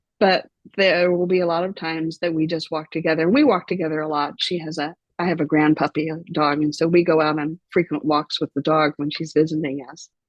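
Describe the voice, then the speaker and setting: A woman speaks in a very deep, low voice at a fairly quick pace. Her intonation is flat and monotone. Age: 60s. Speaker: pilgrim guest. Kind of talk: interview conversation.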